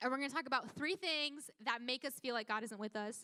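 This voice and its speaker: A woman's high-pitched, raised and projected voice, bright and sharp in tone, with lively intonation at a fairly quick pace. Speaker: youth pastor. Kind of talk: sermon. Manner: fast; casual.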